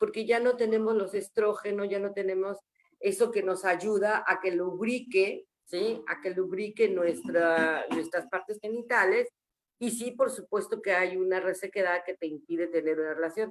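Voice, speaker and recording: This is a normal speaking voice with ordinary pitch variation, moving at a fairly slow pace. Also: woman, medium pitch for a woman. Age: 60s. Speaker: menopause support group member. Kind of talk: panel discussion testimony.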